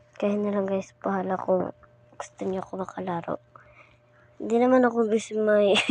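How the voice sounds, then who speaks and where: Soft-spoken and at a medium pitch, a woman talks in a monotone, flat intonation over noticeable background noise. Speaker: gaming vlogger. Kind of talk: casual vlog talk to viewers.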